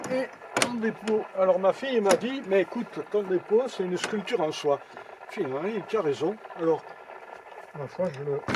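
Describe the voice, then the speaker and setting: Over noticeable background noise, a man speaks at a high pitch and moderate pace. His intonation is lively, broken by long, frequent pauses. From Lozère, France. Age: 70s. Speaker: sculptor. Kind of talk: interview answer. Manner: hesitant.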